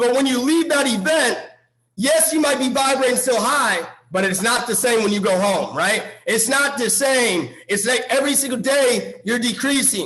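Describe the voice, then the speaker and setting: A man's extremely high, animated voice with ordinary pitch variation and very even loudness, plus audible room echo. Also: moderate pace. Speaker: motivational speaker. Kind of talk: motivational talk.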